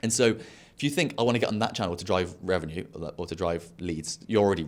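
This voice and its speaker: With a British accent and lively intonation, the speaker talks very fast in a very clean recording with a silent background. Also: man. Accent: regional British. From England. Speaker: podcast host and entrepreneur. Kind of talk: casual interview chat.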